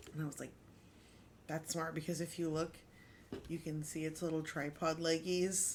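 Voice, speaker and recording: A woman speaks at a moderate pace in a fairly low pitch. Her speech has long, frequent pauses. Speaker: crafting livestreamer. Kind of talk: casual livestream chat. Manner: animated.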